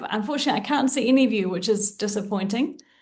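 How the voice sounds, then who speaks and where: A woman talks with a New Zealand accent and lively intonation. Her voice is somewhat breathy over a quiet background. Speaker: leadership coach and trainer. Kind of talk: webinar presentation.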